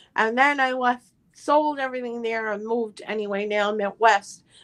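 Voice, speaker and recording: A woman talks with fairly high pitch and fairly even intonation. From Newfoundland, Canada. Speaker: livestream guest. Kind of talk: casual chat.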